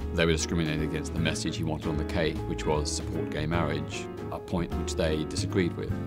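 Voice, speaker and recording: A man talks at a fairly quick pace while loud music plays in the background. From Australia. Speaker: human rights campaigner. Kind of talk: interview answer. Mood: calm, reflective. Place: hall. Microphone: lapel.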